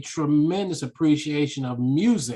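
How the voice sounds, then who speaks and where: A man speaks at a moderate pace. His pitch is fairly high for a man. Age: 60s. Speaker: author and speaker. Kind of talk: interview conversation. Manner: animated.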